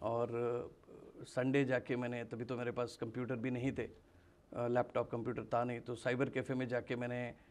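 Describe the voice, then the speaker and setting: Monotone, flat intonation runs through this man's medium-pitched voice. He keeps a moderate pace. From Mangalore, Karnataka; Karnataka, India. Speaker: direct selling trainer. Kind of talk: interview. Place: studio. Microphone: lapel.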